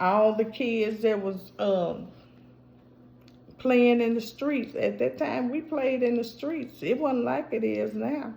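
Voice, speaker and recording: A woman talks at a very slow pace, her pitch fairly high with ordinary variation. Her tone is dark and mellow, and the room echo is audible. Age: 60s. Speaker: vlogger. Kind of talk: casual chat.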